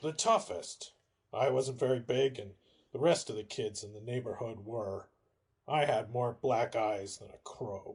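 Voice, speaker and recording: In a raspy, put-on character voice, a man speaks at a moderate pace with a medium pitch. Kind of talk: 1940s radio acting. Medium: audio drama. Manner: casual, slangy.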